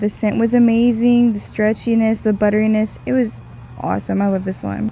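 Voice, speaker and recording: Speaking at a moderate pace, a woman with an ordinary speaking voice and a fairly high pitch shows ordinary pitch variation. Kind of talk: casual product review voice-over.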